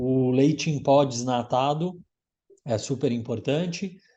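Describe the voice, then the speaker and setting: The voice has a dark, mellow tone and ordinary pitch variation, set against a quiet background. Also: man. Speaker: gelato instructor. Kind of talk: casual chat.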